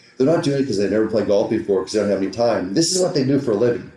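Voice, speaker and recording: A man with a medium-pitched voice and a dark, mellow tone speaks with lively intonation, and audible room echo surrounds him. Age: 50s. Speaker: golf teaching professional. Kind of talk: podcast interview. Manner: animated, repetitive.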